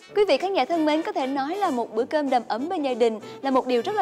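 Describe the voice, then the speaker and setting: A woman speaks at a very fast pace in a high pitch, with faint music in the background. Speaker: TV cooking show host. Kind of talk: TV presenter address to viewers. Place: studio. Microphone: lapel.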